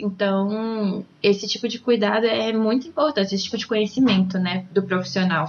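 Here a woman uses an ordinary speaking voice at a medium pitch and a moderate pace. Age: 20s. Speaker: ballroom dance teacher. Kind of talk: casual interview.

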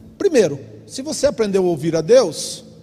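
Amid noticeable background noise, a high-pitched man speaks at a fairly slow pace. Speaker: pastor. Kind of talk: sermon. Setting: church. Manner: animated.

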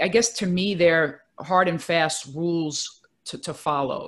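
A woman speaks with a very deep, low pitch and ordinary pitch variation on a very clean recording with a silent background. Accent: New York. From Brooklyn, New York. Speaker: career coach. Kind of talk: interview.

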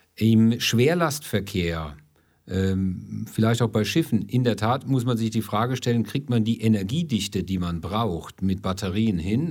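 Over a silent background in a very clean recording, a man speaks at a moderate pace with a fairly low pitch and ordinary pitch variation. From Ludwigshafen am Rhein, southwestern Germany. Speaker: energy company executive. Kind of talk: interview.

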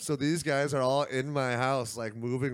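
A man has a plain, everyday voice at a medium pitch, speaking at a moderate pace. The recording is very clean, with a silent background. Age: 20s. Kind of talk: casual chat.

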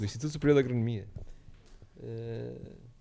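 Speaking with a European Portuguese accent, a man has a dark, mellow tone, a medium pitch and ordinary pitch variation. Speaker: podcast host. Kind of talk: casual chat. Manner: animated.

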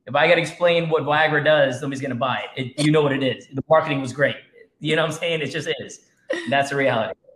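A man speaks at a very fast pace. His fairly high voice keeps a fairly even intonation. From Jamaica. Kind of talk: casual interview. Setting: video call.

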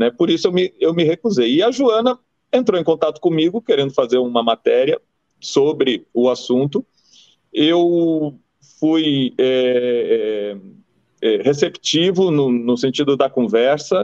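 A man's fairly high voice with very wide pitch swings, very even loudness and a fairly slow pace. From Brazil, Rio Grande do Sul. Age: 50s. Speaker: former football goalkeeper. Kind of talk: interview.

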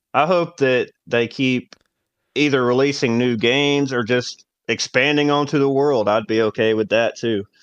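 A man with a normal speaking voice talks at a moderate pace with a medium pitch, ordinary pitch variation, and very even loudness. The sound is dry and close with no echo, over a quiet background. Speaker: guest gamer. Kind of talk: casual chat.

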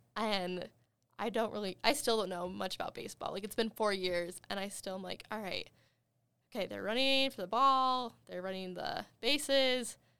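Using an ordinary speaking voice, a woman speaks at a fairly high pitch and a moderate pace with ordinary pitch variation, recorded very cleanly against a silent background. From Wyoming, US. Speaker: university student. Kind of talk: casual chat.

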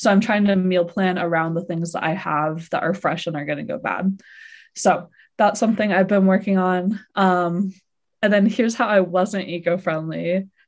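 Over a quiet background, a woman with a plain, everyday voice talks at a moderate pace and medium pitch, her intonation fairly even. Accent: American. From Seattle. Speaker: podcast co-host. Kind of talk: casual chat.

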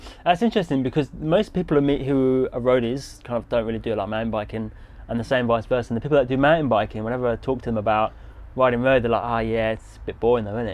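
With an English accent, a man talks at a very fast pace. His medium-pitched voice has ordinary pitch variation. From England. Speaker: podcast host and touring cyclist. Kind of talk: casual interview. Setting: outdoors. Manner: hesitant, many fillers.

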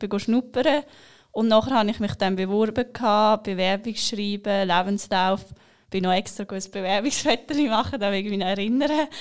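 On a very clean recording with a silent background, a woman in an unremarkable speaking voice talks at a moderate pace, with a medium pitch and ordinary pitch variation. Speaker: bank apprentice. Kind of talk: podcast interview. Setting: studio.

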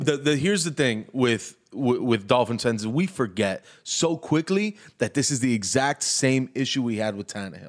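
Over a silent background in a very clean recording, a man at medium pitch speaks with lively intonation at a moderate pace. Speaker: podcast co-host, sports fan. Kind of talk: casual chat.

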